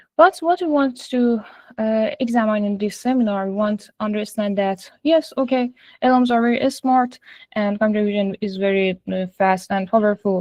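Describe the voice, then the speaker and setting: A woman with an Iranian accent speaks at a moderate pace in a fairly high pitch, with ordinary pitch variation and big swings in loudness. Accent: Iranian (Persian). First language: Persian. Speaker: AI and machine learning engineer. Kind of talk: lecture. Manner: halting, frequent fillers.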